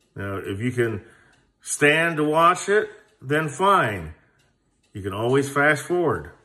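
At a very slow pace, a man speaks in a bright, sharp tone with very wide pitch swings and big swings in loudness. The background is quiet. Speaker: airgun channel host. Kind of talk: casual vlog chat. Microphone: phone near.

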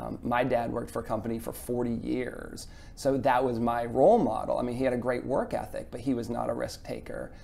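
A man talking at a fairly quick pace with hardly any pauses, audible room echo around him. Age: 40s. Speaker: chef and business owner. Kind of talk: interview.

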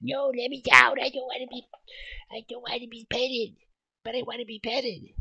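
In a put-on character voice, fairly high in pitch, the speaker moves at a fairly quick pace but leaves long, frequent pauses. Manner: silly, pleading.

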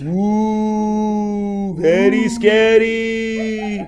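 A put-on character voice with a fairly high pitch. Clear background noise sits behind it. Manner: spooky, eerie.

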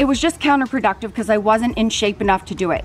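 Faint music plays in the background while a woman speaks. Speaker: fitness vlogger. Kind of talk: casual vlog chat. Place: garden. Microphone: phone near.

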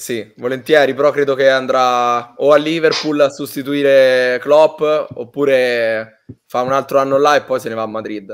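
Using a medium pitch and fairly even intonation, a man speaks at a fairly slow pace. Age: 20s. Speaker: youth football coach and match analyst. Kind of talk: casual live stream chat.

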